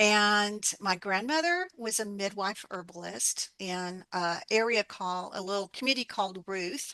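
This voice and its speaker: Speaking with an Appalachian accent, a woman goes at a fairly slow pace with hardly any pauses, her medium pitch showing ordinary variation. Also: quiet background. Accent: Southern US Appalachian. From Appalachia, US South (Alabama). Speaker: herbalist and author. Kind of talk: interview. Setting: radio interview.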